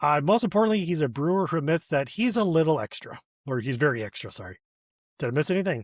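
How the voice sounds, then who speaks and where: In a very clean recording with a silent background, a man with an American accent races along at a very fast pace, his fairly high pitch making very wide swings. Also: dry, close sound with no echo. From Michigan (Flint area). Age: 40s. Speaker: podcast host. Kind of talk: casual interview chat.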